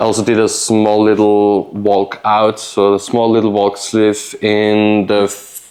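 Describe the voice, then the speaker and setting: A man speaks in a fairly low voice at a fairly slow pace. His delivery is monotone and flat, with hardly any pauses. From Austria. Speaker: knife maker. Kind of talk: casual interview chat. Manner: halting, many fillers.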